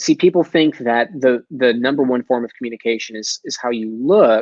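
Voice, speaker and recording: A man with a slight Texas accent speaks at a fairly high pitch. His tone is animated and his intonation lively. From Texas, Dallas. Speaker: sales expert and entrepreneur. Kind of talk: podcast interview. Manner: articulate, animated.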